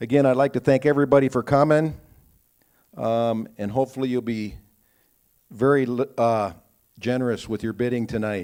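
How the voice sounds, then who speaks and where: At a moderate pace and medium pitch, a man speaks with fairly even intonation and long, frequent pauses on a very clean recording with a silent background. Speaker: student auctioneer at a class auction. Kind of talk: live event announcer / MC opening an auction.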